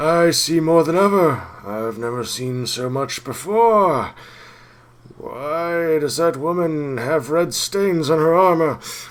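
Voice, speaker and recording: Putting on a character voice, a man talks at a fairly high pitch with ordinary pitch variation. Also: fairly slow pace. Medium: game stream. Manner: cryptic, halting, fragmentary.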